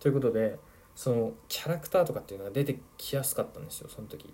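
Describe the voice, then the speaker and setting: Fairly high in pitch, a man speaks with lively intonation. His voice is somewhat breathy. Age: 20s. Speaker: football podcaster and youth coach. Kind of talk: solo podcast monologue. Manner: casual, with many fillers.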